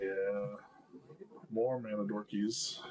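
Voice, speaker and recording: A man's pitch moves in an ordinary way while noticeable noise plays behind him. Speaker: gaming streamer. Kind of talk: gameplay commentary. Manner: hesitant, many fillers.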